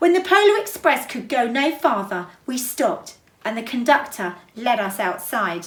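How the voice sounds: A woman's fairly high, fairly bright voice, fairly slow, with lively intonation and audible room echo.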